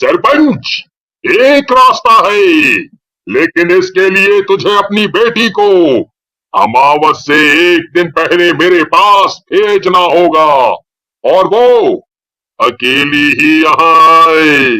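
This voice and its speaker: At a very slow pace, a man performs a cartoonish character voice pitched high for a man. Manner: solemn, authoritative.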